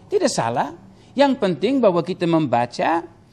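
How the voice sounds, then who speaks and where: Very wide pitch swings from a man talking in a high register. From Papua New Guinea. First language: Tok Pisin (speaking Indonesian). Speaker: Bible teacher. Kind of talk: Q&A teaching session. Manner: halting, many fillers. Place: studio. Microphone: lapel.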